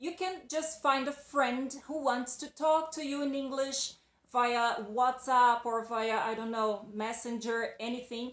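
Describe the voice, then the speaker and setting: Speaking at a fairly slow pace with a high pitch and ordinary pitch variation, a woman talks in a Brazilian accent. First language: Portuguese. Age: adult. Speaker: English teacher. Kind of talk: video lesson. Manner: casual, conversational.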